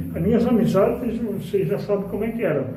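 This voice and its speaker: A man is speaking. Audible room echo and noticeable background noise surround him. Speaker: spiritist lecturer. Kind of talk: spiritual lecture. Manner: animated.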